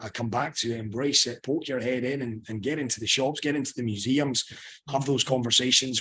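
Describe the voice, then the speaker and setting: This man talks at a fairly quick pace with a strong Scottish accent. His pitch sits in the medium range. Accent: thick Scottish. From Scotland. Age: 30s. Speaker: sports journalist. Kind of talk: panel interview. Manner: animated.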